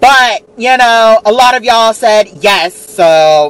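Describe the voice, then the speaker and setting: A man's voice with very wide pitch swings, dry and with no echo. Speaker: vlogger. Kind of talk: casual vlog chat. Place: car.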